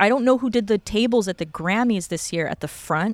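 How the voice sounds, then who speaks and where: A woman's fairly high, fairly quick voice with lively intonation. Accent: Californian. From Los Angeles, Venice. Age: 40s. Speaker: florist. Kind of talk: casual interview. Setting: outdoors in a backyard.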